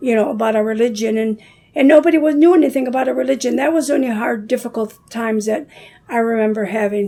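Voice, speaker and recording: A woman with an American accent, fairly high in pitch, at a very fast pace with ordinary pitch variation, over noticeable background noise. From Dearborn, Michigan, US. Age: 70s. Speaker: community elder. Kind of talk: casual chat. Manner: hesitant, with many fillers.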